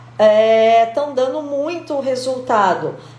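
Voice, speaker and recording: A woman speaks with ordinary pitch variation. Audible room echo and noticeable background noise are present. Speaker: aesthetician. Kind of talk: live stream talk. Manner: animated.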